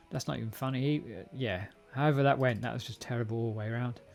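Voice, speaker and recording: A man talks at a fairly quick pace with an English accent. Music plays in the background. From England. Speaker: programming live streamer. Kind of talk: live coding stream. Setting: live stream with chat. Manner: casual, halting with fillers.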